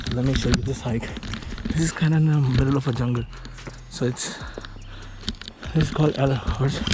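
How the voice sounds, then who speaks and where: With noticeable background noise behind him, a man speaks at a fairly quick pace with fairly even intonation and long, frequent pauses. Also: medium pitch for a man. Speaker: travel vlogger. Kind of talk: casual on-location vlog. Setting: outdoors on a hiking trail.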